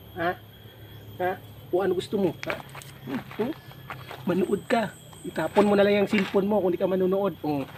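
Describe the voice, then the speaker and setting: A man talks at a fairly quick pace with a high pitch. Noticeable background noise runs underneath. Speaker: video creator. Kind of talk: casual vlog talk to viewers. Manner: animated, teasing; stumbling over words.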